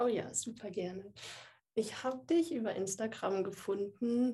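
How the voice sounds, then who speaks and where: A woman's somewhat breathy, medium-pitched voice has a dark, mellow tone and ordinary pitch variation. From Würzburg, Franconia, Germany. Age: 20s. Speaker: software developer and watercolour artist. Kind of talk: casual interview.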